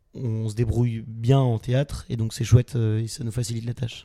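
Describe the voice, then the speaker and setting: A man talks at a fairly slow pace in a dark, mellow tone. The recording is very clean, with a silent background. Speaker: student actor, theatre club vice-president. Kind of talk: casual interview.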